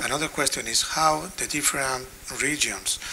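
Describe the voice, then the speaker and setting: With a Spanish accent, a man speaks fairly slowly at a fairly high pitch over noticeable background noise. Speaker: health technology assessment expert. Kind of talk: conference panel discussion. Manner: halting.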